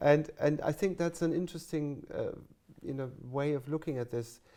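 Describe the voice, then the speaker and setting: Here a man speaks with a German accent at a moderate pace. His tone is dark and mellow, with ordinary pitch variation. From Germany. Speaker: music college teacher and interviewer. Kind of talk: oral history interview. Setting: interview room at a music college. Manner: halting, many false starts.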